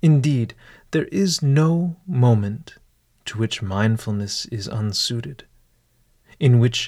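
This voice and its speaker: Very slow and calm, with a soothing tone, a man at medium pitch speaks in a somewhat breathy voice with lively intonation on a very clean recording with a silent background. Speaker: meditation guide host. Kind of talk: guided meditation with ornate, literary scripted narration. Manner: slow, calm, formal, deliberate, soothing; formal, elevated diction with dry humor.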